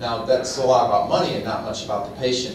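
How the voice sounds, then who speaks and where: The man's pitch is medium. His voice picks up audible room echo, with noticeable background noise behind it. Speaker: conference speaker, pediatric network administrator. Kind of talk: conference presentation. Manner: loud.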